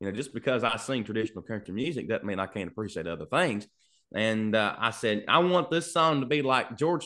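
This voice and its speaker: Over a quiet background, a voice with a Kentucky accent and a bright, sharp tone moves at a fairly quick pace with lively intonation. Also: man. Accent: Southern US (Kentucky). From Kentucky, US. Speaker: singer-songwriter. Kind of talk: casual interview chat. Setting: video call from home studio.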